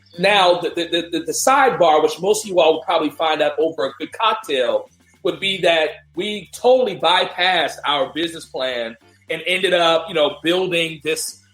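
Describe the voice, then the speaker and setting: Music plays in the background as a man with a high pitch talks at a moderate pace with ordinary pitch variation. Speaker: podcast host. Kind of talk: casual podcast talk. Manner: upbeat, enthusiastic.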